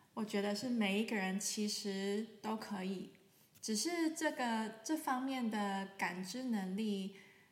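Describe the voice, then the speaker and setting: Speech in a Taiwanese accent comes at a very slow pace with a calm tone and ordinary pitch variation. Noticeable background noise and audible room echo fill the recording. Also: woman, fairly high pitch for a woman. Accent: Taiwanese Mandarin. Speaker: sound healer, podcast host. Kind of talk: solo podcast talk. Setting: sitting in sunlight, filmed for video. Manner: calm, with frequent fillers.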